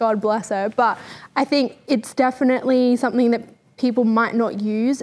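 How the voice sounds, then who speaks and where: This woman speaks with an Australian accent at a moderate pace. Her pitch is fairly high and her intonation fairly even. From New South Wales, Australia. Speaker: podcast co-host. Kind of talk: casual chat.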